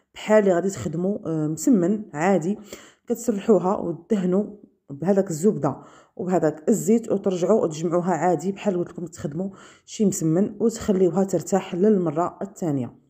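The speaker has a Moroccan accent and a dark, mellow tone, moving at a moderate pace. Pitch variation is ordinary, and the background is quiet. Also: woman, medium pitch for a woman. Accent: Moroccan Darija. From Morocco. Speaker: cooking video host. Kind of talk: cooking tutorial.

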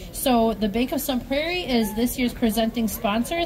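Over crowd noise in the background, a woman speaks with a high pitch. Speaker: event broadcast host. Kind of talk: live event commentary. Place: street. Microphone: headset.

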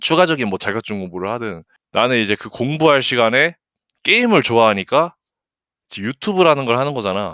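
A man speaks in an animated tone with lively intonation and long, frequent pauses. The sound is dry and close with no echo, on a very clean recording with a silent background. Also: medium pitch for a man, fairly quick pace. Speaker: gaming streamer. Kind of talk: casual livestream chat. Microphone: good mic, picks up breathing.

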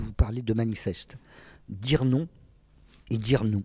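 A somewhat breathy man, very slow, with fairly even intonation. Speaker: interviewer. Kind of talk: interview. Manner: halting.

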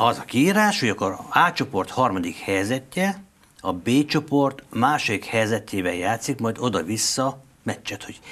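Using very wide pitch swings, a man speaks at a fairly slow pace. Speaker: sports news host. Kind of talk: casual interview chat about football. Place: studio. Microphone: lapel.

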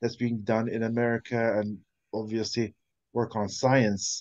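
A man's monotone, flat intonation over a quiet background. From Libya. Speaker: audience member asking questions; audience member. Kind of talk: audience question. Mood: encouraging, informal. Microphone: video call.

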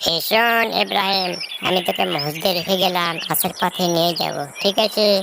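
A cartoonish character voice at a moderate pace, its loudness very even, with clear background noise behind it. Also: woman, medium pitch for a woman. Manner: warm, reassuring.

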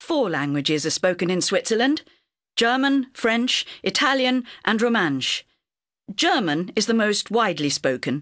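The speech moves at a fairly slow pace. The recording is very clean with a silent background. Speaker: reader of quiz answers in textbook audio. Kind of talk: scripted reading for English learners.

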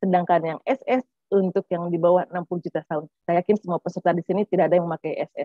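Against a quiet background with a dry, echo-free sound, a woman with a fairly low pitch speaks very fast in fairly even intonation. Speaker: tax official; presenter. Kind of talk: webinar presentation. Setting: video call. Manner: chatty, informal. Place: office. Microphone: webcam.

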